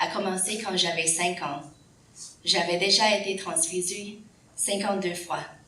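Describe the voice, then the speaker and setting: With noticeable background noise and audible room echo, a woman of medium pitch speaks at a fairly slow pace with fairly even intonation. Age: 40s. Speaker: patient advocate speaker. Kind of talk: prepared speech.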